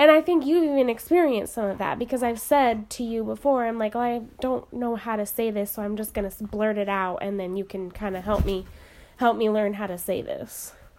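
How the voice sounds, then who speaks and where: Using a plain, everyday voice with an American accent, a woman talks at a fairly quick pace and fairly high pitch with ordinary pitch variation. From US, small town. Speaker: podcast co-host. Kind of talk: casual chat.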